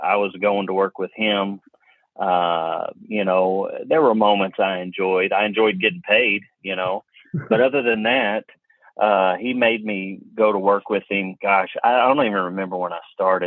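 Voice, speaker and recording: A man with a Kentucky accent and a fairly low pitch. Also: fairly even intonation, fairly slow pace. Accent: Kentucky Southern US. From Kentucky (Hopkinsville). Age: 40s. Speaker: auto appraiser and instructor. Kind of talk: interview conversation. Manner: halting, many fillers and repeats.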